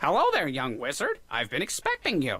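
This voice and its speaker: A man's put-on character voice at a fairly high pitch. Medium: video game. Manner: formal, fussy.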